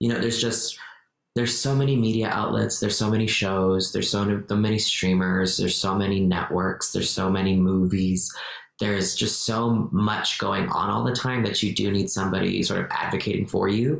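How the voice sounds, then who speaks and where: A fairly low-pitched man talks fairly quickly at a very even loudness, his pitch varying normally, with audible room echo. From Mexico. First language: Spanish. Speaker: actor and activist. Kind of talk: podcast interview.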